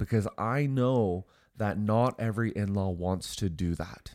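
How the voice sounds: A man speaks at a fairly slow pace in a nasal, fairly low voice. The recording is very clean, with a silent background. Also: ordinary pitch variation, slightly mellow tone.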